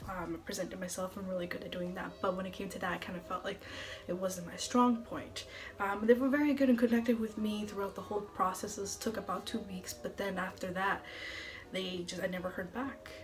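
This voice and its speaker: A woman with an American accent speaks at a medium pitch and a fairly quick pace, with ordinary pitch variation. Noticeable background noise and audible room echo fill the recording. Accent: some think she has an. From central Massachusetts. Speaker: TV meteorologist. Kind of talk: casual vlog talk. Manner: fast.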